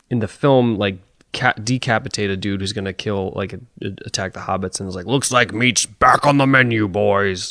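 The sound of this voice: An unforced reading voice. Its pitch varies in an ordinary way.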